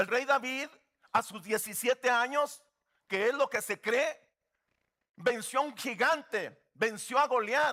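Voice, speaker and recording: A man's raised, projected voice at an extremely high pitch, bright and sharp in tone, with ordinary pitch variation, a very slow pace and long, frequent pauses. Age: 60s. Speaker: guest pastor. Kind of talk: sermon.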